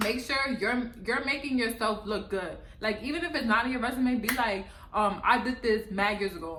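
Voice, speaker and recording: In an American accent, a woman speaks at a moderate pace in an animated tone, her pitch fairly high with ordinary variation. Noticeable background noise and audible room echo are present. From New York City, the Bronx. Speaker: vlogger. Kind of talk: casual vlog advice.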